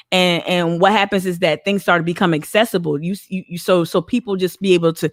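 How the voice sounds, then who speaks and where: The delivery is animated, at a fairly quick pace, in a Northeastern US accent. The sound is dry and close with no echo, in a very clean recording with a silent background. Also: woman. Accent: Northeast US. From northern New Jersey. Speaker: community activist. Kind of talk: interview conversation.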